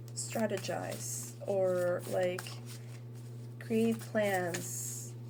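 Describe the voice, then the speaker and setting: A woman with a very deep, low voice and very wide pitch swings talks over noticeable background noise. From Argentina. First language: Spanish. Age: 20s. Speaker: tarot reader. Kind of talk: tarot reading talk to camera.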